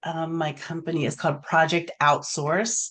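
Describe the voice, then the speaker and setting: In an unremarkable speaking voice, a woman with an American accent speaks at a fairly slow pace and fairly low pitch over a quiet background. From Baltimore, Maryland. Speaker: virtual assistant. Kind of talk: interview.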